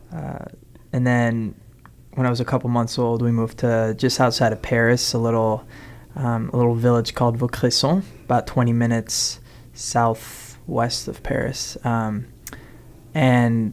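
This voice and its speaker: A man's medium-pitched voice at a moderate pace, with fairly even intonation and long, frequent pauses. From Chicago, Lincoln Park. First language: French. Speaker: musician. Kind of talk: interview. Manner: hesitant, many fillers.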